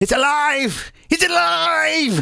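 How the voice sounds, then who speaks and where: A high-pitched, put-on character voice. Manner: triumphant, shouting.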